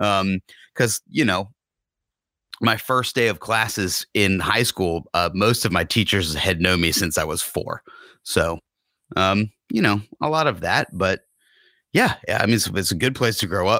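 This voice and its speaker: A bright, sharp tone with an American accent, fairly slow pace, long, frequent pauses, ordinary pitch variation and very even loudness, in a dry, close sound with no echo on a very clean recording with a silent background. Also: man, fairly low pitch for a man. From US South, Rome, Georgia. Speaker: actor and comedian. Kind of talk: interview.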